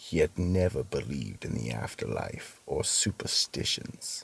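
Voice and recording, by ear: A man's put-on character voice, extremely low in pitch with big swings, fairly slow, with vocal fry, a fairly bright tone and a slightly husky edge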